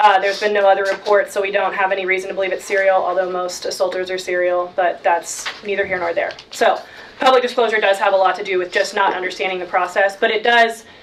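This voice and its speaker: A woman talks at a very fast pace in a monotone, flat intonation. Noticeable background noise sits behind her. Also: medium pitch for a woman, hardly any pauses. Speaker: graduate student representative on campus committee. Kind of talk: committee meeting report.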